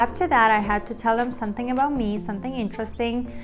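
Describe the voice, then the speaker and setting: A woman with a fairly high pitch and fairly even intonation is heard with audible room echo and noticeable background noise. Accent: Russian. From Russia, Kazan. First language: Russian. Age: 20s. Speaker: actress and vlogger. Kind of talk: casual vlog talk.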